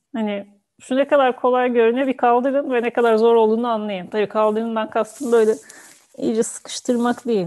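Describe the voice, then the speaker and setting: Fairly even intonation from a woman with a fairly high pitch and a dark, mellow tone. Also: quiet background. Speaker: music reaction youtuber, dancer and yoga teacher; music reaction youtuber, yoga teacher. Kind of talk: casual video reaction commentary. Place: home room. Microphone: earbuds.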